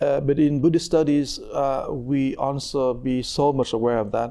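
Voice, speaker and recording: With a Vietnamese accent, this man speaks at a fairly high pitch in a dark, mellow tone with ordinary pitch variation. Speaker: Buddhist monk and meditation teacher. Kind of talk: conversational teaching interview.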